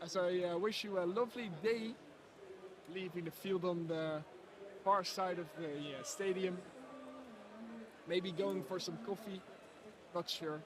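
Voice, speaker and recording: In a Dutch accent, a man with a high pitch speaks at a fairly slow pace with fairly even intonation and long, frequent pauses, amid audible room echo and noticeable background noise. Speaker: live stream commentator. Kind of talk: live commentary. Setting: robot football arena. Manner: hesitant, many fillers.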